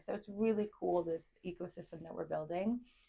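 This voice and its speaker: A dark, mellow tone with vocal fry, a Chicago accent and ordinary pitch variation. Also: woman. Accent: American, Chicago. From US Midwest, Chicago. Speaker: entrepreneur, club founder. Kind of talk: interview.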